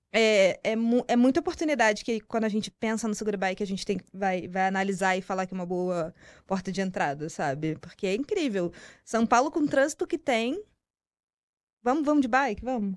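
A woman with a Rio de Janeiro accent, medium pitch, lively intonation and a fairly quick pace, against a quiet background. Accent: carioca. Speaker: marketing professional. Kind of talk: interview conversation.

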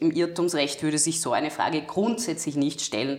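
A woman with an unremarkable speaking voice and a fairly low pitch talks at a moderate pace. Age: 20s. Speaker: lawyer and legal scholar. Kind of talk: interview about law.

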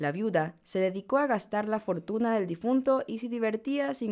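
Here a woman speaks with an ordinary speaking voice at a moderate pace. Her intonation is lively. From Ecuador, Manabí coast. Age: 20s. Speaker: podcast host, economist. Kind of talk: reading aloud a legend. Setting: studio.

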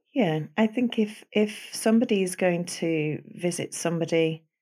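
A Manchester accent on a very clean recording with a silent background. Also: woman. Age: 50s. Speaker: osteopath. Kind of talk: casual interview.

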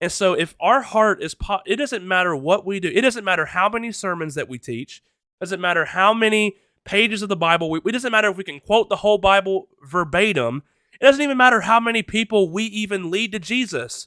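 Raised and projected, a man's high-pitched voice moves at a fairly quick pace with lively intonation, the sound dry and close with no echo. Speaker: podcast host. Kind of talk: casual chat.

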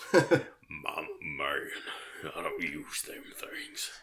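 A put-on character voice, raspy and very slow, over light background noise. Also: man. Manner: gruff, macho.

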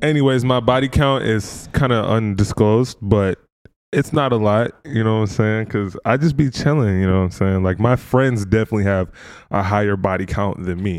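A man with an American accent speaks in a normal speaking voice at fairly low pitch and a moderate pace, with ordinary pitch variation, on a very clean recording with a silent background. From Minnesota, US. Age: 20s. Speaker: content creator. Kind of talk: casual chat.

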